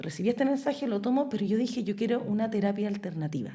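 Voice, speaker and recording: In a Chilean accent, a woman with a fairly high pitch talks at a very fast pace with lively intonation, vocal fry and a dark, mellow tone. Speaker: podcast guest. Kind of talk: casual chat.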